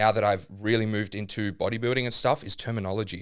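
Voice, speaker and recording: A man with an Australian accent and a fairly low pitch. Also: very clean recording, silent background. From Melbourne, Australia (born in Namibia). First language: German. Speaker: bodybuilder and online coach. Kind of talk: podcast interview.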